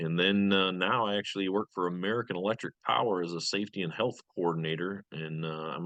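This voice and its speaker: The speaker talks at a fairly quick pace with a slight Michigan accent. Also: man. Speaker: fire lieutenant and safety coordinator. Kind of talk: interview self-introduction. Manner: frequent uh fillers.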